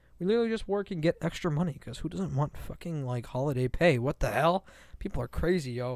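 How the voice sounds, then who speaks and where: A man's fairly high, animated voice at a very fast pace with lively intonation, dry and close with no echo, in a very clean recording with a silent background. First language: Farsi. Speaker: podcast co-host, comedian and pre-med student. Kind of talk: casual chat.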